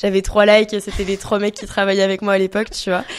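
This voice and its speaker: A woman's medium-pitched voice in a very clean recording with a silent background. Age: 20s. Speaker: entrepreneur and content creator. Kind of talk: podcast interview.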